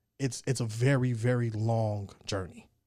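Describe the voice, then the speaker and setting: A man talks at a moderate pace with an American accent and a dark, mellow tone. The recording is very clean, with a silent background. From Colorado. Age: 20s. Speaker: rapper and army veteran. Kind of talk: casual chat. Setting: studio.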